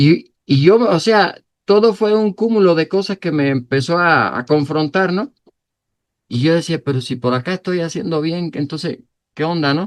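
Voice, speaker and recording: Against a quiet background, a man talks at a fairly slow pace with a high pitch and ordinary pitch variation. The sound is dry and close with no echo. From Cuba. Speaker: pastor. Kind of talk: sermon.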